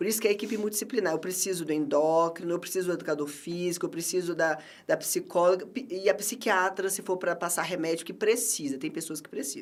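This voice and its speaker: A woman's medium-pitched voice at a very fast pace, hardly any pauses, and big swings in loudness. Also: ordinary pitch variation. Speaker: nutritionist. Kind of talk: interview. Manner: animated.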